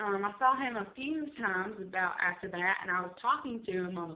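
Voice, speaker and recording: Speaking with an American accent, a woman uses a medium pitch. Her intonation is lively. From South Carolina, US. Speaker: vlogger. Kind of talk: casual vlog monologue. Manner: loud; hyper, rambling with fillers.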